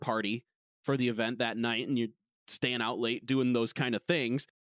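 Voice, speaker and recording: In a dry, close sound with no echo, a man with an American accent and an unremarkable speaking voice talks at a moderate pace and medium pitch, his loudness very even. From United States. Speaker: esports caster. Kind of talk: casual chat. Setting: video call.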